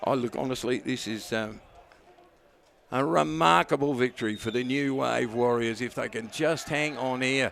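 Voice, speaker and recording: At a moderate pace, a man with an Australian accent talks in an animated tone, medium in pitch with ordinary pitch variation. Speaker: football commentator. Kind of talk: live commentary.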